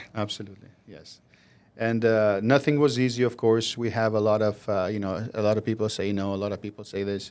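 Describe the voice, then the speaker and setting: With an Albanian accent, a man with a fairly low pitch speaks at a fairly quick pace in fairly even intonation, his loudness swinging widely on a very clean recording with a silent background. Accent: Albanian, Southern European. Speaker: mortgage broker, company CEO. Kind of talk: interview. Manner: hesitant fillers.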